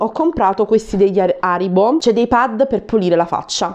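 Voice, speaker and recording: Lively intonation marks this woman's fairly high voice. The background is quiet. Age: 30s. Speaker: YouTuber. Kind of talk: shopping haul video. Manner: animated. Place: home room. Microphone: lapel.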